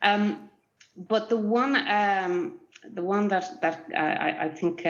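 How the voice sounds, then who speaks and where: A woman talks at a fairly slow pace in an Irish Midlands accent. Her pitch varies in an ordinary way. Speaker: research collaboration executive. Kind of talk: online panel discussion. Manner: halting, many fillers and repeats.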